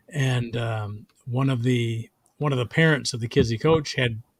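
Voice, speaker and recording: Pitch variation here is ordinary. The voice sounds somewhat breathy. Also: man. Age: 60s. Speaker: comedian. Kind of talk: casual chat. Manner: halting.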